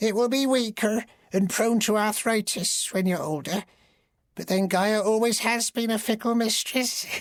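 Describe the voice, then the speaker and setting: A put-on character voice at a fairly high pitch comes at a moderate pace on a very clean recording with a silent background. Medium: read story. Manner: cryptic, ominous.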